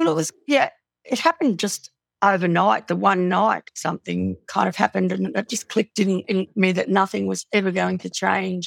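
A woman with an Australian accent speaks at a moderate pace, her sound dry and close with no echo. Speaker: domestic violence survivor and author. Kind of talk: testimony.

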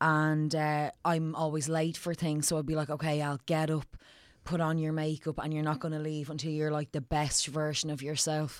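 In an Irish accent, a woman with a very deep, low pitch speaks at a moderate pace in a monotone, flat intonation on a very clean recording with a silent background. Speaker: comedian and actress. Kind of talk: casual chat.

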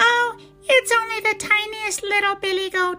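Put-on character voice at an extremely high pitch and a moderate pace

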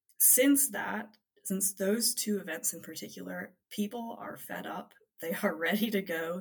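Using an American accent, a woman with a fairly low pitch and vocal fry speaks at a fairly slow pace, her pitch swinging very widely. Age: 20s. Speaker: political organization leader. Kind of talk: interview.

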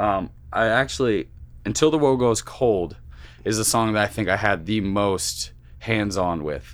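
Recorded very cleanly against a silent background, a man talks in an ordinary speaking voice with ordinary pitch variation. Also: fairly low pitch for a man, fairly slow pace. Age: 20s. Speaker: rock drummer. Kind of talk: casual chat.

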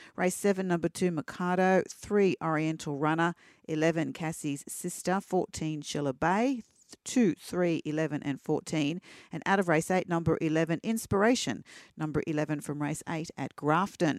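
In a very clean recording with a silent background and a dry, close sound with no echo, a woman with an Australian accent speaks at a fairly low pitch and fairly slow pace, with ordinary pitch variation. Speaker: racing reporter. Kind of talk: reading race scratchings and racing news.

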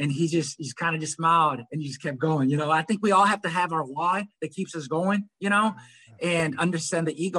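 Racing along at a very fast pace, a man speaks in a high pitch. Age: 40s. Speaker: ultra runner, recovering addict. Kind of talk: casual interview.

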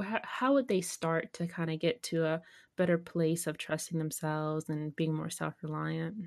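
A woman speaks at a fairly low pitch and a fairly slow pace. The background is quiet. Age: 30s. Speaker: podcast host. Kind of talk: casual interview. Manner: animated.

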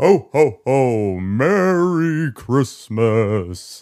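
Recorded very cleanly against a silent background, a man puts on a character voice at medium pitch.

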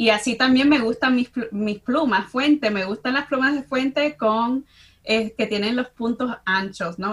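Fairly slow and with ordinary pitch variation, a woman talks in a normal speaking voice. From US Midwest, Chicago (Dominican family). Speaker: university professor. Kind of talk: casual interview chat.

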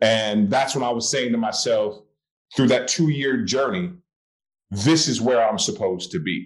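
With lively intonation, a man speaks in an ordinary speaking voice at a medium pitch. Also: moderate pace. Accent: American. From US West Coast, Oakland, California. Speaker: actor. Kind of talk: casual interview.

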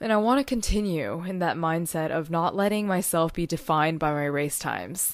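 A woman with an unremarkable speaking voice and a fairly low pitch talks fairly quickly with lively intonation and hardly any pauses, on a very clean recording with a silent background. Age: 20s. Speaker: podcast host and social media strategist. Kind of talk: solo podcast monologue.

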